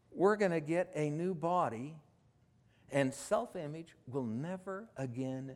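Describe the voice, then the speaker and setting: Against a very clean recording with a silent background, a man speaks at a very slow pace and a fairly high pitch. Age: 60s. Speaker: pastor. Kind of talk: sermon. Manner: conversational.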